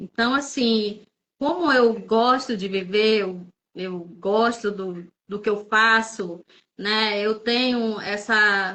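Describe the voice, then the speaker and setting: A woman talks very slowly, keeping her intonation fairly even. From Manaus, northern Brazil. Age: 60s. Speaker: public servant. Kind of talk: testimony.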